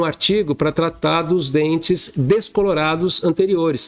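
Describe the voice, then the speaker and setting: High in pitch with ordinary pitch variation, a man speaks while music plays in the background. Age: 60s. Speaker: dentist and educator. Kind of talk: interview conversation.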